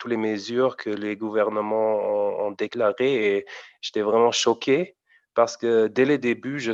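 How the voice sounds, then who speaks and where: Fairly slow and even in intonation, a man speaks at medium pitch with a German accent. The sound is dry and close with no echo, over a quiet background. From Germany, Frankfurt region. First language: German (speaking French). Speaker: amateur rapper. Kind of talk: interview. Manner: halting, many repetitions.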